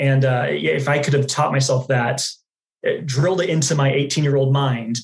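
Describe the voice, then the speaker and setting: Somewhat breathy, a man with an American accent speaks at a medium pitch with ordinary pitch variation. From Dallas, Texas. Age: 20s. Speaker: customer success manager and podcaster. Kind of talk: casual interview.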